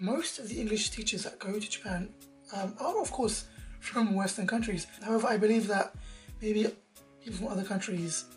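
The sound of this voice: A woman with fairly high pitch, ordinary pitch variation and a fairly quick pace, with music in the background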